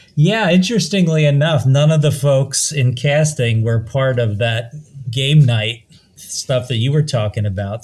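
Slightly breathy male speech at medium pitch, fairly slow in pace, with ordinary pitch variation. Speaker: podcast host. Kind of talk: casual podcast chat.

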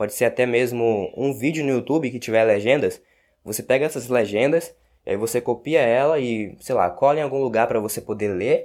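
On a very clean recording with a silent background, a man with a Brazilian accent talks at a fairly quick pace. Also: medium pitch for a man, ordinary pitch variation. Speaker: language teacher podcaster. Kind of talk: casual tutorial monologue.

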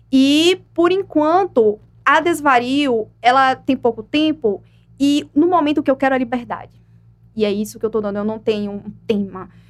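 Lively intonation marks the delivery, which moves at a moderate pace. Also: woman, high pitch for a woman. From Brazil, Aracaju (Sergipe, Northeast). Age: 20s. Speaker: poet and writer. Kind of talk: interview.

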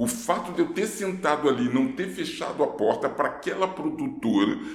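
A man's high voice with very wide pitch swings, along with audible room echo and noticeable background noise. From Rio de Janeiro, Brazil. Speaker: actor. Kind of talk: casual interview. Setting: studio.

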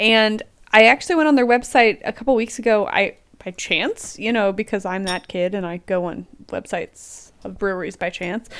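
In an unremarkable speaking voice with an American accent, a woman talks at a moderate pace on a very clean recording with a silent background. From US, Pennsylvania (Lancaster County). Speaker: podcast host. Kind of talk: casual chat.

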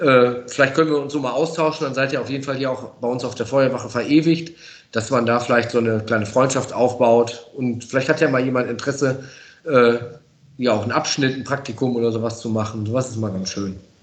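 Audible room echo surrounds a man speaking at a medium pitch. He goes at a fairly quick pace with fairly even intonation. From Münsterland, western Germany. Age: 40s. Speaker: professional firefighter. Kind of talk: casual interview. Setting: fire station.

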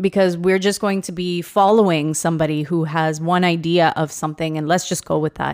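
A woman talks in a normal speaking voice, fairly low in pitch with fairly even intonation. The recording is very clean, with a silent background. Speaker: teacher podcast co-host. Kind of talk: casual chat. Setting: studio.

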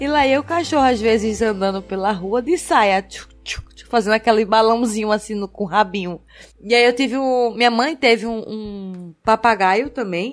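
With ordinary pitch variation, a woman's fairly high voice carries her words. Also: moderate pace. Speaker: podcaster. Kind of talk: casual chat. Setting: recording at home sharing one mic with partner.

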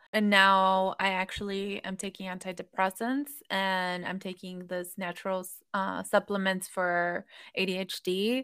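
A woman's medium-pitched voice with an American accent, bright and sharp in tone, monotone and flat in intonation, at a fairly slow pace, on a very clean recording with a silent background. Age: 30s. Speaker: massage therapist and coach. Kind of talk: casual interview.

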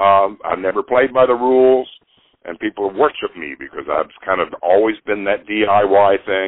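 A man with an American accent, an unremarkable speaking voice, fairly low pitch and ordinary pitch variation. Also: moderate pace. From US South, Nashville. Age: 60s. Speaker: musician. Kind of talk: interview.

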